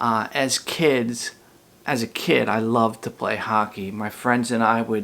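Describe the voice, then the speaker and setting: A man with a Philadelphia accent and fairly even intonation. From US Northeast, Philadelphia. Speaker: elementary school teacher. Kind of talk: recorded class talk to pupils. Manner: casual, with frequent fillers.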